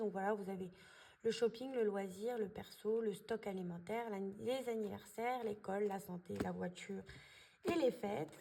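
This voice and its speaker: A woman speaks at a moderate pace, her pitch fairly high and her pitch variation ordinary. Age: 20s. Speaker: budgeting vlogger. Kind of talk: casual tutorial. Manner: hesitant, many fillers.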